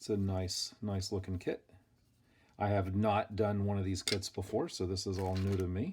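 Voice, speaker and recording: On a very clean recording with a silent background, the voice is somewhat breathy and relaxed in tone, moving at a moderate pace with monotone, flat intonation. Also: man, fairly low pitch for a man. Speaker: hobbyist model kit builder. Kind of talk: casual build tutorial.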